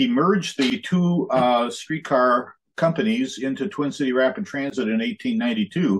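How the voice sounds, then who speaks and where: In an American accent, a man speaks at a fairly slow pace, his fairly high pitch swinging very widely. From US Midwest. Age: 70s. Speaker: museum historian and presenter. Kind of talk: illustrated history lecture. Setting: video call.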